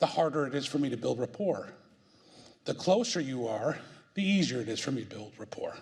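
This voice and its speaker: Delivered at a fairly quick pace, the speech has lively intonation and long, frequent pauses. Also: man, medium pitch for a man. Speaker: IT executive and speaker. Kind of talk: presentation. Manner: loud.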